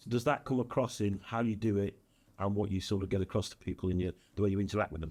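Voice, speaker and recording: Fairly low in pitch, a man with a northern English accent speaks very fast. His intonation stays fairly even. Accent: northern English, kept. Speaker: business consultant and speaker. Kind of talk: podcast interview.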